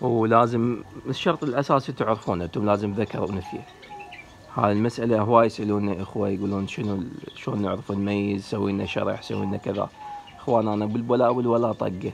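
Over light background noise, a man uses an ordinary speaking voice, fairly low in pitch, at a moderate pace with fairly even intonation. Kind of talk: casual tutorial talk.

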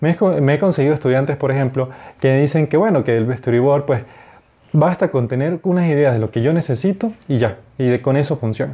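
A man at a fairly high pitch and moderate pace, somewhat breathy and dark and mellow in tone, with ordinary pitch variation and very even loudness. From Venezuela, Mérida; Venezuela. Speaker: animator and graphic designer. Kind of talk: lecture. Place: home room. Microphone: lapel.

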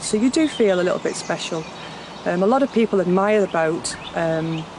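A woman speaks at a fairly quick pace. The sound is dry with no echo, though noticeable background noise is present. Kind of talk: interview answer. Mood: warm, reflective. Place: waterside.

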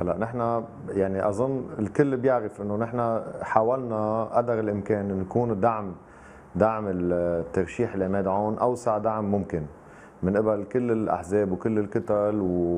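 A man with a Lebanese accent speaks at a fairly low pitch and a fairly slow pace, keeping his intonation fairly even. Light background noise can be heard. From Lebanon. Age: 40s. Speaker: politician. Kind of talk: live TV interview. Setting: remote video link. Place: home room.

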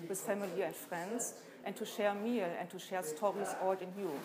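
Noticeable background noise surrounds a woman's voice. She speaks at a moderate pace with fairly even intonation. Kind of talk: interview answer. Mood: calm, reflective. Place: hall.

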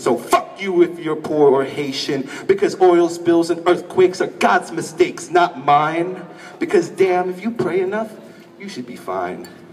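Pitched high, a man talks at a moderate pace with ordinary pitch variation. Light background noise can be heard. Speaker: spoken word poet. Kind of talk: spoken word poetry performance. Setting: live stage, audience. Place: stage.

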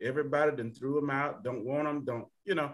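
A man with an Alabama accent, fairly high pitch and a fairly quick pace, over a quiet background. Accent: US Southern (Alabama). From Alabama (Tuskegee). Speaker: panelist. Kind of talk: panel discussion. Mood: earnest, personal. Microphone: video call.

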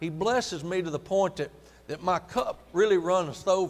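At a moderate pace, the man's speech shows ordinary pitch variation. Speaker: preacher. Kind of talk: sermon. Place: church.

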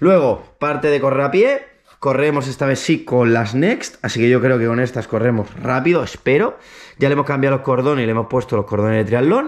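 A man talks at a fairly quick pace in a normal speaking voice, medium in pitch with ordinary pitch variation. His loudness stays very even over a quiet background. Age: 30s. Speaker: triathlete YouTuber; triathlete vlogger. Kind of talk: casual vlog. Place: home room. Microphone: phone near.

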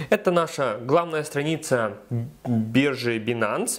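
This man's voice sits fairly high with lively intonation. His pace is very slow. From Ukraine. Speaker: video blogger giving crypto tutorials. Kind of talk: tutorial. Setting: screen recording voiceover.

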